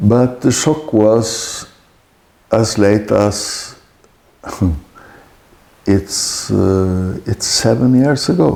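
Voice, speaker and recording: In a Norwegian accent, a man with a fairly low pitch speaks at a very slow pace with ordinary pitch variation and long, frequent pauses. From Norway. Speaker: author. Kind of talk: interview answer.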